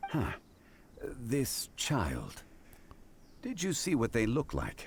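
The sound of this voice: Putting on a character voice, a man speaks slowly at a medium pitch with vocal fry and very wide pitch swings.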